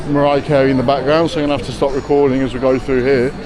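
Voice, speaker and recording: A fairly high-pitched man with a Leicester accent, audible room echo and noticeable background noise. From English Midlands, Leicester. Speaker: travel vlogger. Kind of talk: casual walking vlog chat.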